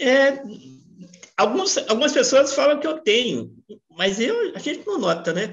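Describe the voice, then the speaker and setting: A woman's high voice at a fairly slow pace, very wide pitch swings and long, frequent pauses. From Brazil, Minas Gerais (Belo Horizonte). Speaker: actor. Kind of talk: interview.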